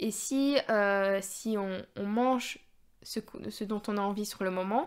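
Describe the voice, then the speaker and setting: Very slowly, a woman speaks at a medium pitch with ordinary pitch variation. The recording is very clean with a silent background. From Belgium. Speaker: dietitian. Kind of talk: podcast talk. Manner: casual, hesitant.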